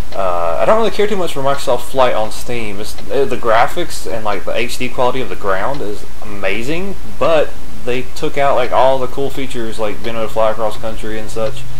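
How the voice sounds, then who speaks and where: A man in an American accent at a fairly quick pace, his loudness very even, with noticeable background noise. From United States. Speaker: gaming commentator. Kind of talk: casual gameplay commentary. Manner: hesitant, many fillers.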